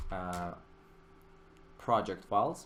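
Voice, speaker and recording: Audible room echo follows speech delivered fairly slowly. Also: man. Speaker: 3D software tutorial instructor. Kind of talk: tutorial. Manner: frequent filler hesitations.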